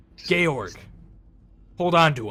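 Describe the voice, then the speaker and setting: Here a man puts on a character voice. It is pitched fairly high. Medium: actual play. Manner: curt, commanding.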